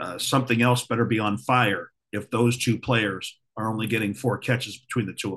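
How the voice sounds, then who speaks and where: A man talks fairly quickly in a normal speaking voice at medium pitch, with hardly any pauses. His intonation stays fairly even. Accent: American. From Ohio. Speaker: podcast co-host. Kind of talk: casual chat.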